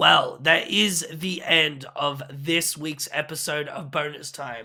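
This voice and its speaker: A man puts on a raspy, hoarse character voice, fairly high in pitch. He goes at a fairly slow pace with fairly even intonation. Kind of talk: casual podcast sign-off.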